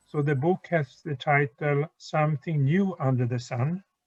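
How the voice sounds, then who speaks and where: Talking at a fairly slow pace, a man with a fairly high pitch sounds somewhat breathy and uses ordinary pitch variation. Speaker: university lecturer. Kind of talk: lecture. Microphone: too quiet for listeners.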